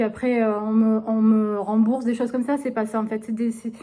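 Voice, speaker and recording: A woman speaks at a fairly quick pace, her fairly high voice carrying a dark, mellow tone. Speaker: vlogger. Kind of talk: casual vlog talk. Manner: hesitant.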